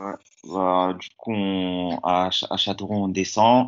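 A man's very deep, low voice in monotone, flat intonation. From France, Lyon. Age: 20s. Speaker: professional footballer. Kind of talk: interview. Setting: at home.

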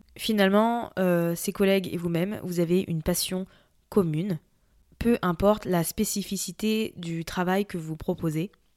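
A woman at medium pitch, fairly slow and fairly even in intonation, in a dry, close sound with no echo. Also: very clean recording, silent background. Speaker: personal development podcast host. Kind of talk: solo podcast monologue. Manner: unscripted, conversational.

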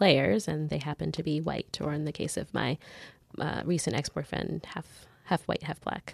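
This woman's voice has a very deep, low pitch, ordinary pitch variation and vocal fry. She talks at a moderate pace in a dry, close sound with no echo. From Canada, Mississauga suburbs. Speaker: lawyer and writer. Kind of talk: interview.

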